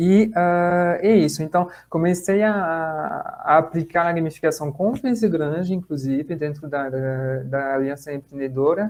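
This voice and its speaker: A fairly high-pitched man with a French accent, fairly slow, with hardly any pauses. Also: ordinary pitch variation. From France. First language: French (speaking Portuguese). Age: 30s. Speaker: lecturer on gamification, social impact professional. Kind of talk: online talk / webinar. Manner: hesitant, many fillers and repetitions.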